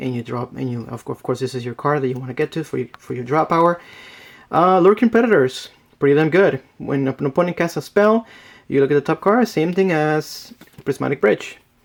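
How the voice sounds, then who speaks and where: This voice has a non-native accent and lively intonation. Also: man. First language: not English. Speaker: card game deck reviewer. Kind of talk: tutorial. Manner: casual, with fillers.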